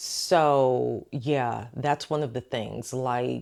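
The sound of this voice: On a very clean recording with a silent background, a woman speaks at an extremely low pitch and a very slow pace, with vocal fry, fairly even intonation and a slightly mellow tone.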